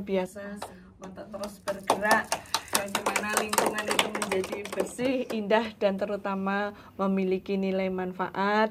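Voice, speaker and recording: Against noticeable background noise, a woman at a medium pitch speaks at a moderate pace with monotone, flat intonation. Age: 60s. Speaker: school principal and environmental volunteer. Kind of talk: emotional thank-you speech; interview. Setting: studio.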